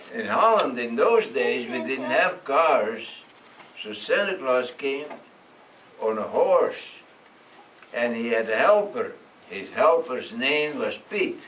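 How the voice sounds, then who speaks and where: Over noticeable background noise and audible room echo, a man speaks at a very slow pace with long, frequent pauses. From Netherlands. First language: Dutch. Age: 90s. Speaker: storyteller. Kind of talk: storytelling to children. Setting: classroom.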